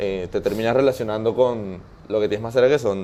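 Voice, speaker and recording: Fairly even intonation in the dark, mellow tone of a man's voice. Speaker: interviewee, migrant. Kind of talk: interview conversation. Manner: hesitant, with many fillers and restarts.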